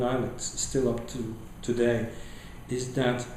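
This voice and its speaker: Background noise is noticeable throughout. A man is doing the talking. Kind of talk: interview answer.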